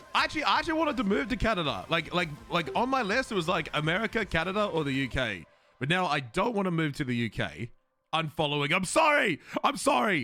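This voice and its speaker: A man with an Australian accent speaks very fast in a high, bright, sharp voice whose pitch swings very widely. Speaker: streamer. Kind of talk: casual chat.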